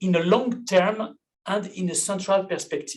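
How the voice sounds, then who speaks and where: At a moderate pace, a man speaks in a high pitch. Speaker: law professor. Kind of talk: conference talk. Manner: hesitant.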